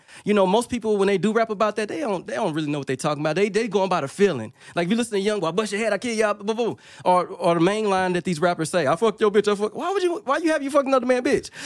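Through noticeable background noise, a high-pitched man with a Louisiana accent talks at a very fast pace. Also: lively intonation, hardly any pauses. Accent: Louisiana Southern US. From Monroe, northern Louisiana. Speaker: music producer. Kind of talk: casual interview chat. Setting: studio.

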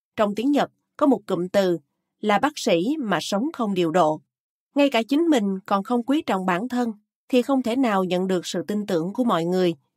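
With an ordinary speaking voice, a woman at medium pitch speaks at a moderate pace with lively intonation, the sound dry and close with no echo. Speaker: audiobook narrator. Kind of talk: audiobook reading of a health book. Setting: studio. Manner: formal.

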